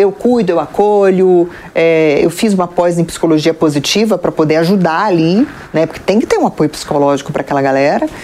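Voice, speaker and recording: A woman's fairly low-pitched voice, with ordinary pitch variation, moves at a fairly quick pace through noticeable background noise. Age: 40s. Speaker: TV presenter and journalist. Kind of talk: interview.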